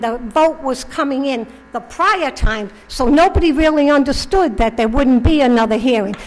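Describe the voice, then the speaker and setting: Her high-pitched voice has lively intonation, with noticeable background noise and audible room echo around this woman. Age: 70s. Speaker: resident speaking at public comment. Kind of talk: public comment speech. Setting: town council meeting with audience. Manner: animated.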